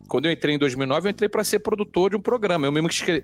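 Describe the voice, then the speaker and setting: A man's high-pitched voice at a very fast pace with lively intonation, on a very clean recording with a silent background and a dry, close sound with no echo. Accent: strong Rio de Janeiro. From Rio de Janeiro, Brazil. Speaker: sports TV anchor. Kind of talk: casual chat. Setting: studio. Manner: animated.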